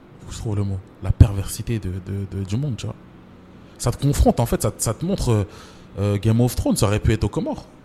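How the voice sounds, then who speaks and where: A man's dark, mellow, somewhat breathy voice, fairly low in pitch with ordinary pitch variation, at a fairly quick pace with long, frequent pauses, in a very clean recording with a silent background. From France, Champigny (Paris suburbs), Comorian roots. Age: 30s. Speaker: writer and screenwriter. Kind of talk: interview. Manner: casual, full of fillers.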